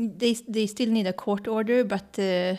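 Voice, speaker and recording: A woman speaks at a very slow pace with a Swedish accent. Her pitch is fairly high. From Sweden. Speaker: scientist and traveling parent. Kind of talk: interview.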